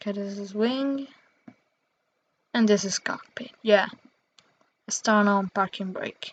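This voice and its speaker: A woman's medium-pitched voice, dry and close with no echo, with fairly even intonation, big swings in loudness, long and frequent pauses, and a fairly slow pace. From Italy. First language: Italian. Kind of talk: casual gameplay commentary.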